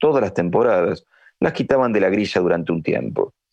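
Against a quiet background, a man speaks with a fairly low pitch. His pitch swings very widely. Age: 50s. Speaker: history teacher and writer. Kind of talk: scripted narration.

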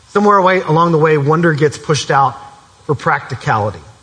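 Noticeable background noise sits behind a man with a fairly high pitch. He talks at a fairly quick pace with ordinary pitch variation. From Kentucky, Elizabethtown. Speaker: camp speaker, preacher. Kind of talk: sermon. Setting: church with live audience.

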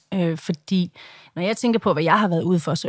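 Ordinary pitch variation in a woman's medium-pitched voice, close and dry without echo, on a very clean recording against a silent background. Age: 40s. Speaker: social media personality and campaigner. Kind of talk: interview. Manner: halting.

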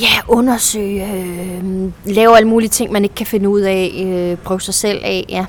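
A woman's medium-pitched, monotone, flat delivery at a fairly slow pace, with noticeable background noise. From central Jutland, Denmark. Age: 30s. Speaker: actress. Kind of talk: casual chat. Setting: outdoors.

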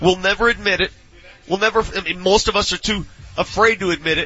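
Amid noticeable background noise, a man speaks at a fairly quick pace, his pitch high with ordinary variation. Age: 40s. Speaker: sports radio host. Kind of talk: casual chat. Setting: live broadcast from a training facility.

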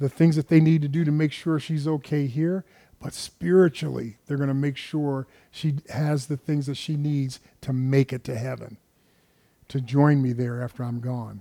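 A man with a fairly high pitch and a dark, mellow tone speaks at a moderate pace with fairly even intonation, the sound dry and close with no echo. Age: 70s. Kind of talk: sermon. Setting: church.

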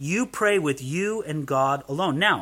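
A man's raised, projected voice with an American accent, bright and sharp in tone, at a very slow pace, on a very clean recording with a silent background. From US, Southern California. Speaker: pastor. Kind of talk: sermon.

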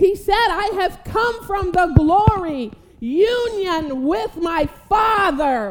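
A woman speaks loudly at an extremely high pitch and a very slow pace, with lively intonation. Audible room echo surrounds her voice. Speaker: preacher. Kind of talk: sermon. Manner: animated.

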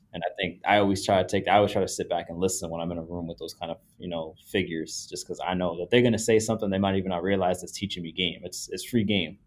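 A man with a very deep, low pitch speaks at a very fast pace with an American accent. His loudness swings widely, though his intonation is fairly even. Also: hardly any pauses. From Dominican heritage, US. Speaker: apparel designer. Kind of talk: casual chat.

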